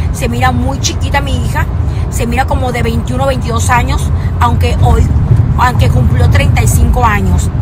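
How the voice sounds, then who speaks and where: A woman talks over loud background noise. The sound is dry, with no echo. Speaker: social media creator. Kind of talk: casual vlog chat. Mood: warm, grateful. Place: car. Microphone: phone near.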